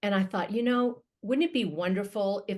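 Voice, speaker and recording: A woman talks at a fairly quick pace at a medium pitch with ordinary pitch variation. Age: 60s. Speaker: matchmaker and podcast host. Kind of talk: casual interview chat. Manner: animated.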